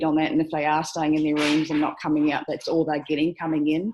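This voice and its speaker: With an Australian accent, a woman talks very fast in a very deep, low pitch and a monotone, flat intonation. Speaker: aged care worker. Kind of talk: video call discussion. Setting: video call.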